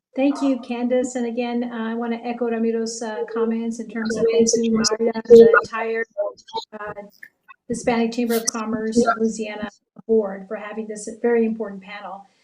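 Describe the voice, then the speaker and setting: A woman talks at a moderate pace in a fairly high pitch. Her intonation stays monotone and flat while her loudness swings widely. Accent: American. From South Texas, Brownsville. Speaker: bank executive, board chair. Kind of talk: panel remarks. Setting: virtual town hall.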